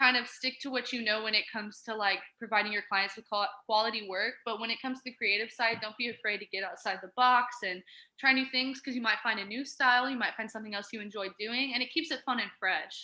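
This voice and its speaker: A woman races along at a very fast pace in a fairly high, bright, sharp voice with fairly even intonation. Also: hardly any pauses. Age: 20s. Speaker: photographer. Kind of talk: casual interview.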